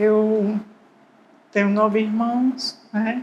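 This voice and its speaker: A woman's very slow delivery. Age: 60s. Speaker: retired civil servant. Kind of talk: documentary interview testimony.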